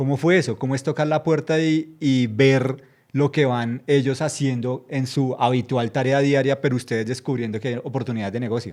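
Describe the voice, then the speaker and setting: A man with an ordinary speaking voice, medium in pitch, at a moderate pace with hardly any pauses and fairly even intonation. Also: quiet background. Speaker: journalist interviewer. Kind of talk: interview. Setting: studio.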